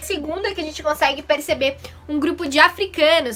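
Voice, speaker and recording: A woman with a Curitiba accent speaks at a fairly quick pace. Her voice is high-pitched with a bright, sharp tone. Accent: southern Brazilian (Curitiba) Portuguese. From southern Brazil. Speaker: primary school teacher. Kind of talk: recorded online lesson.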